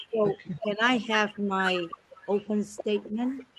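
A woman's voice with noticeable background noise. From Taiwan. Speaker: school board candidate. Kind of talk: candidates' forum answers. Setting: video call from a library. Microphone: borrowed laptop.

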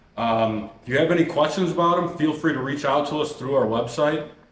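Audible room echo surrounds a man talking at a fairly quick pace. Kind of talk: product presentation. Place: workshop.

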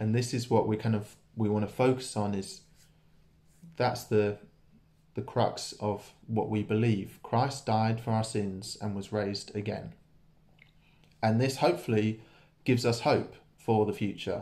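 The voice is somewhat breathy, with a dark, mellow tone and fairly even intonation. It moves at a fairly slow pace with long, frequent pauses. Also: man, fairly low pitch for a man. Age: 20s. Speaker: church preacher. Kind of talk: sermon. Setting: church. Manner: casual, hesitant with many fillers. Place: home room. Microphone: phone near.

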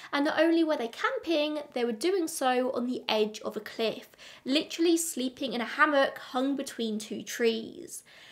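A woman with an English accent talks at a high pitch. Her intonation is lively and the background is quiet. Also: moderate pace. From England. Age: 20s. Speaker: true crime youtuber. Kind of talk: scripted narration. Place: home room.

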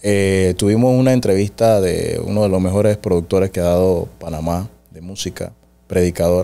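The voice has a dark, mellow tone and fairly even intonation at a moderate pace. Its loudness swings widely. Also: man, very deep, low pitch for a man. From Panama. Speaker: podcast host. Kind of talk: interview. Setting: studio. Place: studio. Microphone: studio mic.

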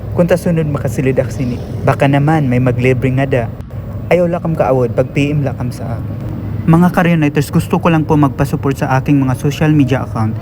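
Over noticeable background noise, a man with an Eastern Visayas accent talks at a fairly quick pace, his fairly high pitch showing ordinary variation. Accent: Waray-accented Tagalog, hard-sounding. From Eastern Visayas (Waray-speaking region). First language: Waray (speaking Tagalog). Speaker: travel vlogger. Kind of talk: casual vlog narration. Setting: walking around a shopping mall. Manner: animated.

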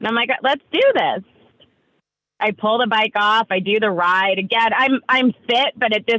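Speaking in an American accent with lively intonation, a woman keeps a moderate pace in an unremarkable speaking voice. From New York. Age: 40s. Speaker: entrepreneur. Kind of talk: casual interview chat. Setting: video call.

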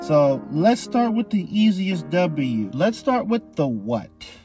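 Music plays in the background as a man speaks at a very slow pace with very wide pitch swings, the sound dry with no echo. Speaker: anime commentary youtuber. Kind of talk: casual commentary.

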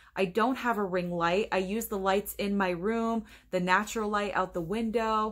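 Against a quiet background, a woman with a medium pitch talks at a moderate pace in a monotone, flat intonation. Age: 30s. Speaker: YouTuber, movie reviewer. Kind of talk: casual vlog monologue. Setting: home bedroom. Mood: upbeat, reflective. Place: home room. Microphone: webcam.

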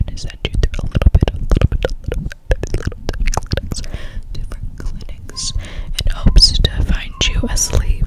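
Loud background noise surrounds this recording. A soft-spoken woman talks at a moderate pace. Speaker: ASMR creator playing a doctor. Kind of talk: soft-spoken ASMR role-play. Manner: soft close-mic ASMR murmur. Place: home room. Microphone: studio mic.

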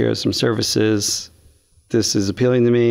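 This man speaks at a moderate pace with fairly even intonation. The background is quiet. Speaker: guest. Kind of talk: interview answer. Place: studio. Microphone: studio mic.

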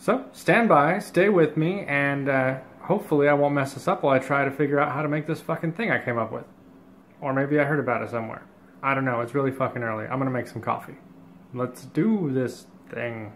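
A man at a fairly quick pace, ordinary pitch variation, light background noise. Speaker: cooking show host. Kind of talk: casual vlog chat. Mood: sleepy, joking. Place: kitchen. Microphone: phone near.

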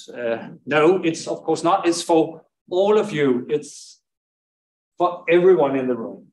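A man with a fairly high pitch and ordinary pitch variation talks at a fairly slow pace, with audible room echo. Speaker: panel moderator. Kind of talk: panel moderation. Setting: stage with audience. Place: hall.

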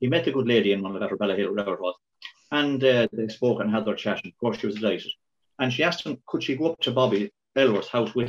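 Delivered at a very fast pace with lively intonation, the speech comes in a Kilkenny Irish accent. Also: man. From Ireland. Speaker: local councillor. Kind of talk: tribute reminiscence. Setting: video call. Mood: warm respectful remembrance. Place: home room. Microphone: video call.

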